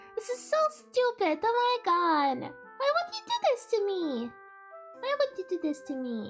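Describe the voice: A woman puts on a squeaky character voice at an extremely high pitch, with very wide pitch swings. Music plays clearly in the background. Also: moderate pace.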